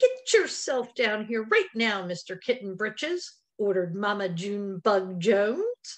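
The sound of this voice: A quiet background behind an unforced reading voice.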